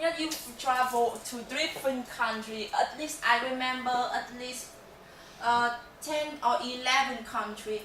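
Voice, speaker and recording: A woman in a Vietnamese accent speaks at a fairly slow pace and high pitch with ordinary pitch variation, amid noticeable background noise and audible room echo. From Vietnam, Hanoi. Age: 20s. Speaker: university student. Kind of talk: class presentation. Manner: halting.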